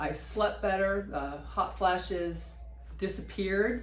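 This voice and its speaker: Very slowly, a woman talks in a room with audible echo while clear background noise plays around her. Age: 60s. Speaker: patient. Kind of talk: testimony. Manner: halting.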